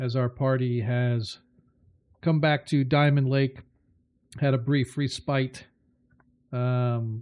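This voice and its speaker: Speaking very slowly with long, frequent pauses, a man holds a medium pitch in a monotone, flat delivery at very even loudness. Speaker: game master. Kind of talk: tabletop roleplay narration.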